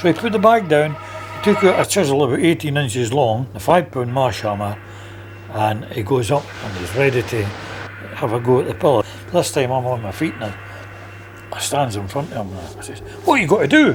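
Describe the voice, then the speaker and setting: A man with a Lothian accent and a medium pitch speaks at a fairly quick pace with lively intonation, big swings in loudness and long, frequent pauses, over noticeable background noise. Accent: Scottish (Lothian). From Scotland, Midlothian (Roslin). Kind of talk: casual storytelling.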